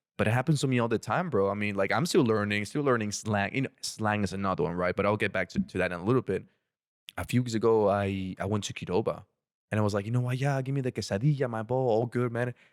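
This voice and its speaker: Speaking very fast with an Ecuadorian accent, a man keeps a fairly low pitch and ordinary pitch variation. The recording is very clean, with a silent background. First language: Spanish. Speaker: former international student. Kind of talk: casual podcast interview.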